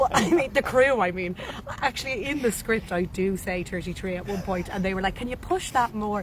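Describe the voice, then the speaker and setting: A woman with an Irish accent, lively intonation and a fairly quick pace, over noticeable background noise. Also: medium pitch for a woman. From Ireland. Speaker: actress. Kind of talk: interview. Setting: cafe.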